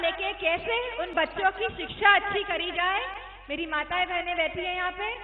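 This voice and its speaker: A woman speaks at an extremely high pitch. Her intonation is fairly even. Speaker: politician. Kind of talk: political rally speech. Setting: outdoor rally PA system.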